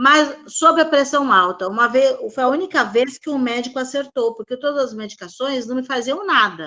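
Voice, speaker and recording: A woman's raised, projected voice, high-pitched with a bright, sharp tone and lively intonation, at a moderate pace with hardly any pauses. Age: 70s. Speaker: participant sharing health experience. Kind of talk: testimony.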